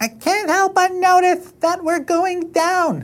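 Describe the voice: A put-on character voice sits at an extremely high pitch. The delivery moves at a fairly slow pace.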